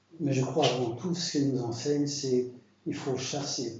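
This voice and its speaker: A man at medium pitch, fairly slow, with fairly even intonation, audible room echo and noticeable background noise. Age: 70s. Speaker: preacher. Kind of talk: sermon. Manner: halting.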